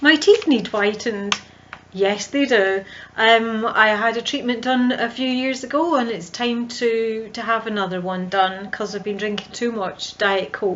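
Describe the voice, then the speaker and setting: Over noticeable background noise, a woman with a strong Scottish accent speaks at a fairly slow pace in a fairly high pitch, with ordinary pitch variation. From central Scotland. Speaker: visibility coach. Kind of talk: vlog monologue. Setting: home video recording.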